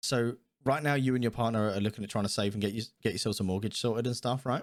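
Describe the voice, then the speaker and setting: Speaking very fast with a British accent, a man uses an animated tone at a medium pitch and very even loudness on a very clean recording with a silent background. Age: 20s. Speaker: podcast host. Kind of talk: casual chat.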